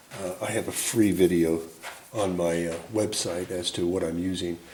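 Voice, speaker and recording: A man's voice with noticeable background noise. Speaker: painting instructor. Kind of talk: tutorial. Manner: casual, thinking aloud.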